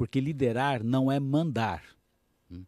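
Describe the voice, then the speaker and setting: In a very clean recording with a silent background and a dry, close sound with no echo, a man uses a plain, everyday voice at medium pitch, speaking at a moderate pace with ordinary pitch variation. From Brazil, Minas Gerais. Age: 60s. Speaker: business executive and coach. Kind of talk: radio interview. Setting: studio.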